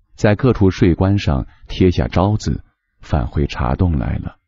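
A man speaks at a very slow pace with a very deep, low pitch. His pitch swings very widely. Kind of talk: audiobook reading of a novel. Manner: measured, unhurried storyteller's pace, lyrical and gently even.

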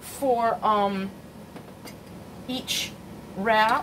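A woman talks while noticeable background noise plays behind her. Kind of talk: casual cooking tutorial chat. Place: kitchen. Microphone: phone near.

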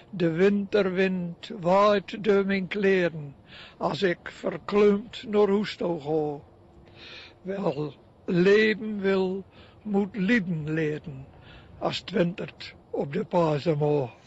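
Speaking at a very slow pace, a man uses a high-pitched voice with a Drenthe accent. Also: ordinary pitch variation. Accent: North Drenthe dialect. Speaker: retired schoolteacher, poet. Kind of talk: poetry reading.

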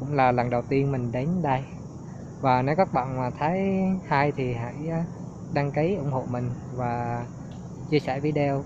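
A man speaks with a dry sound and no echo. Noticeable background noise runs underneath. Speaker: travel vlogger. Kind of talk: casual vlog chat. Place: garden. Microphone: phone near.

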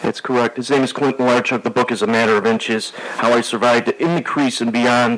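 A man talks at a very fast pace in a monotone, flat intonation. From Western New York. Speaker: radio host. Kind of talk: radio interview. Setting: studio. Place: studio.

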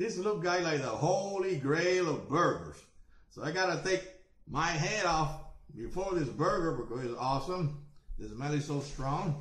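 Audible room echo around a man's ordinary pitch variation and moderate pace. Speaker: food reviewer. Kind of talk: casual vlog chat. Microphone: webcam.

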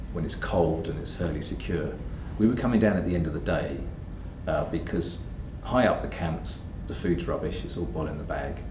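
There is noticeable background noise behind this man. His very deep, low voice moves at a fairly quick pace. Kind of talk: interview answer. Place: home room.

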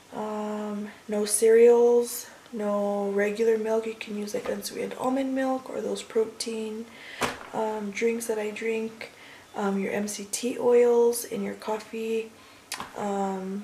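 A woman talks at a very slow pace in a monotone, flat intonation. There is light background noise. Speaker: vlogger. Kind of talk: casual vlog chat. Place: kitchen. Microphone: phone near.

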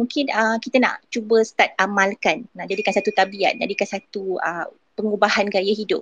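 Somewhat breathy, a woman speaks at a moderate pace with a dry, close sound and no echo. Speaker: early childhood educator. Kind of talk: casual chat.

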